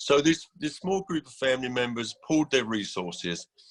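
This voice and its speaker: In a dry, close sound with no echo, a man with an English accent talks at a moderate pace, using a medium pitch and lively intonation. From England. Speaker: executive director of a mental health housing nonprofit. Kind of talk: conference panel talk. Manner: hesitant, many fillers and repetitions.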